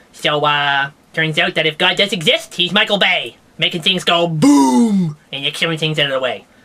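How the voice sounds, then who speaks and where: A man speaks at a moderate pace in a cartoonish character voice pitched fairly high for a man. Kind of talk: comedic puppet science news show. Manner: rambling, jokey.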